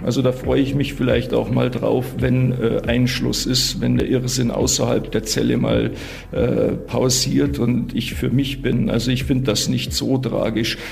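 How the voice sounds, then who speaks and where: Audible room echo and noticeable background noise surround a man's voice. He keeps a fairly slow pace and very even loudness. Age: 40s. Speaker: prisoner claiming innocence. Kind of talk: interview. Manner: halting, repeating words.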